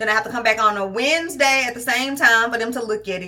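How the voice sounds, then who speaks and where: A woman speaks in a fairly high voice with a bright, sharp tone and ordinary pitch variation. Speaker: lifestyle vlogger. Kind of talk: casual vlog chat.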